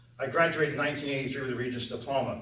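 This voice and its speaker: Over noticeable background noise and audible room echo, a man with an American accent talks very fast at a fairly high pitch. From US Northeast, Orange County, New York. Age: 50s. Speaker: town supervisor, election candidate. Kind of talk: candidate speech at public forum.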